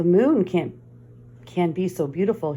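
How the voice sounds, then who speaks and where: Using a put-on character voice, a woman speaks at a fairly low pitch and a moderate pace with lively intonation. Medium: read story.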